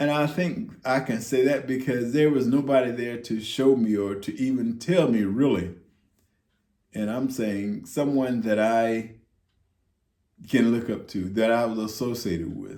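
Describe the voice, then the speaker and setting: Speaking at a fairly slow pace with long, frequent pauses, a man with an American accent uses ordinary pitch variation in a room with audible echo. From US South. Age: 60s. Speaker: retiree vlogger. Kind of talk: casual monologue. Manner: halting, many fillers.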